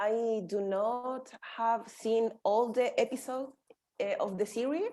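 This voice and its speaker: Speaking in a Spanish accent, a woman talks at a fairly slow pace with fairly even intonation and a dark, mellow tone. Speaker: English learner participant. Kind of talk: casual group discussion. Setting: video call. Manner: halting.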